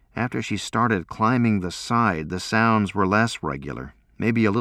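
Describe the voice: Simple, plain reading aloud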